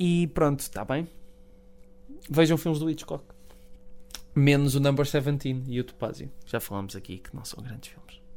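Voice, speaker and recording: A man with a European Portuguese accent has a fairly high pitch, ordinary pitch variation and long, frequent pauses. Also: moderate pace. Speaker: film podcast co-host. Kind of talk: casual chat. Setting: radio studio.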